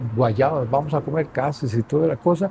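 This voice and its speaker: Vocal fry colors a man's dark, mellow tone as he talks at a moderate pace with ordinary pitch variation. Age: old. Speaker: grandfather, former sportsman. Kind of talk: interview answer. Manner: hesitant, reflective.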